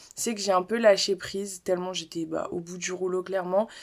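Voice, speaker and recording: The recording is very clean, with a silent background. A woman speaks at a moderate pace and medium pitch. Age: 20s. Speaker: podcaster. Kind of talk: personal monologue. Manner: casual, hesitant with fillers.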